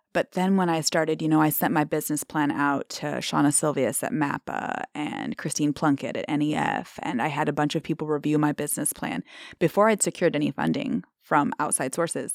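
A woman with an American accent and very deep, low pitch talks at a fairly quick pace with hardly any pauses. Her pitch variation is ordinary, and the sound is dry and close with no echo. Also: very clean recording, silent background. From Omaha, Nebraska, US Midwest. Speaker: small shop owner. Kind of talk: interview conversation. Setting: studio.

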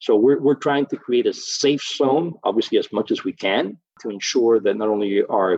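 The sound is close and dry, without any echo. A man's speech proceeds at a moderate pace. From Miami, Florida. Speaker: brewery executive. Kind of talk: interview.

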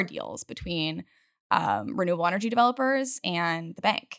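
A woman with an American accent talks at a medium pitch, her intonation lively. Vocal fry runs through her voice. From Utah. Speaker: startup co-founder. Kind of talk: interview.

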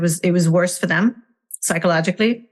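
A woman speaks with a Hungarian accent at a medium pitch. The background is quiet. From Hungary. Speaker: parenting coach. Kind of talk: interview. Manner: halting, many fillers.

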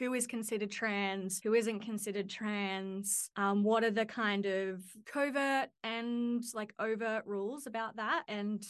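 A woman talks at a moderate pace. Her pitch is fairly high and her intonation fairly even. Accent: Australian. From Australia, Central Coast of New South Wales. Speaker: PhD candidate. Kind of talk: interview.

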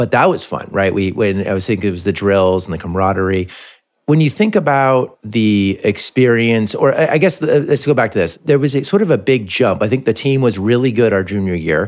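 With an American accent, a man in an unremarkable speaking voice talks at a fairly quick pace with medium pitch and lively intonation, on a very clean recording with a silent background. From California, Palo Alto. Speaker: podcast host. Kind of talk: casual interview.

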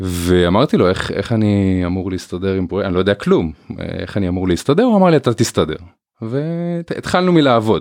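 Against a quiet background, a man with a normal speaking voice talks at a moderate pace, fairly low in pitch, with lively intonation. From northern Israel. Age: 30s. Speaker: family business co-CEO. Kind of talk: interview.

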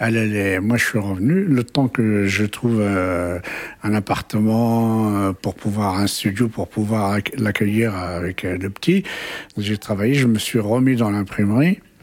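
Over noticeable background noise, a man speaks very slowly at a fairly low pitch with fairly even intonation. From Paris region. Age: 70s. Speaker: retired printer. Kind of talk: interview. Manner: halting.

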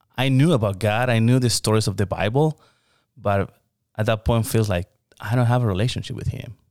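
A man with a Spanish accent is heard in a very clean recording with a silent background, very even loudness, and a dry, close sound with no echo. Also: medium pitch for a man, ordinary pitch variation, fairly quick pace. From Mexico, Hermosillo. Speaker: pastor. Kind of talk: interview.

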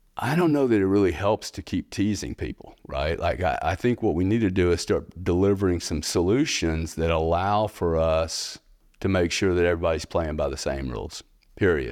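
A man with an American accent, very deep and low in pitch, ordinary pitch variation, a moderate pace, on a very clean recording with a silent background. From US South, Louisiana. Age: 60s. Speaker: payments company founder and bitcoin investor. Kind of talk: casual interview conversation.

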